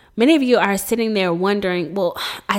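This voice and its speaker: A woman at a fairly quick pace with ordinary pitch variation, in a very clean recording with a silent background. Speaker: podcast host. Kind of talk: solo podcast monologue, personal testimony. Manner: warm, intimate, emotionally heightened, dramatic build-up in the 1:47 stretch; earnest, conversational, encouraging.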